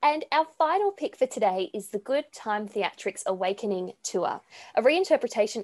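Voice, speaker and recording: A woman speaks at a fairly high pitch with very wide pitch swings. The sound is dry and close with no echo, against a quiet background. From Sydney, Australia. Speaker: podcast co-host. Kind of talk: scripted announcement; interview. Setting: video call.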